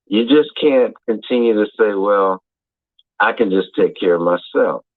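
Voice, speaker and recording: Speaking fairly slowly, a man with an ordinary speaking voice keeps a very even loudness and ordinary pitch variation. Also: medium pitch for a man. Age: 60s. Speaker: caller. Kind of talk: casual chat.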